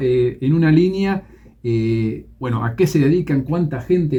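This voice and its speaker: A man speaks at a fairly high pitch and a moderate pace. Noticeable background noise sits behind him. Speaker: radio host. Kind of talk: radio interview.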